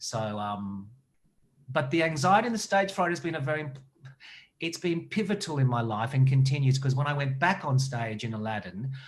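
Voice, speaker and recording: A man talks in an Australian accent with lively intonation. His voice is somewhat breathy. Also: medium pitch for a man, moderate pace. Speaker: actor and director. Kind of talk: interview.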